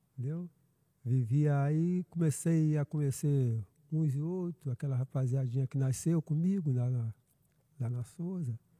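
A man speaks at a fairly slow pace in a fairly high pitch, his tone dark and mellow and somewhat breathy. The sound is dry and close with no echo, and his pitch varies in an ordinary way. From Brazil, Niterói (Rio de Janeiro state). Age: 50s. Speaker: pastor. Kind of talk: casual chat.

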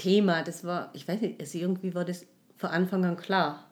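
Monotone, flat intonation carries speech at a moderate speed. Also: woman. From Tyrol, Austria. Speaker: life and social counsellor. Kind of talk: interview, personal testimony. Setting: in studio with host. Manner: halting, many fillers.

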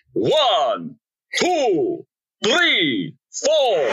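A shrill, high-pitched put-on character voice. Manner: bouncy, playful counting.

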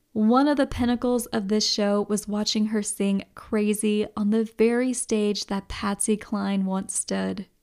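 A fairly high-pitched woman at a fairly slow pace with hardly any pauses, on a very clean recording with a silent background. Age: 30s. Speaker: radio host and podcaster. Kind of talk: solo podcast review. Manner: animated.

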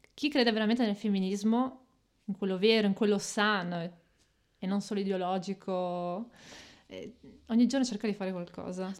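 A woman speaks at a medium pitch and a moderate pace. Her intonation stays fairly even, broken by long, frequent pauses. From Italy, Reggio Emilia. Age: 30s. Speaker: podcast guest, migrant woman. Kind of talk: casual interview.

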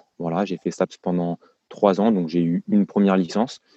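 A dark, mellow tone with monotone, flat intonation and a dry, close sound with no echo. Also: man. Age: 20s. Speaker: tennis fitness coach. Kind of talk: casual interview. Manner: hesitant, many fillers.

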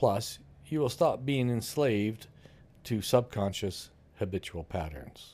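A man's medium-pitched voice, dark and mellow in tone, with lively intonation and a fairly slow pace. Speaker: co-host and book author reading aloud. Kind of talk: book reading followed by discussion.

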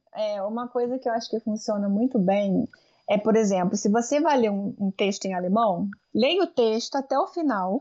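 A woman speaks in an ordinary speaking voice, fairly high in pitch, at a moderate pace with ordinary pitch variation. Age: 30s. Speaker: language teacher and linguistics lecturer. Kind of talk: interview.

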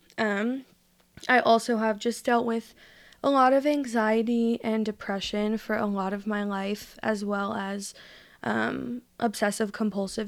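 An unremarkable speaking voice with fairly even intonation, captured in a very clean recording against a silent background. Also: woman. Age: 20s. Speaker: podcast guest sharing mental health experience. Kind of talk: casual interview chat.

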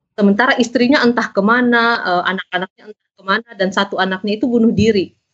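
A woman with an unremarkable speaking voice talks fairly quickly at a fairly high pitch. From South Sulawesi, Indonesia (Makassar). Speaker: novelist and journalist. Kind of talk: casual interview.

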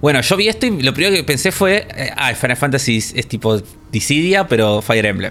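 Over noticeable background noise, a man with a Rioplatense accent speaks at a fairly quick pace, his fairly high voice making very wide pitch swings. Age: 30s. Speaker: video game podcast co-host. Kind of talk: casual chat.

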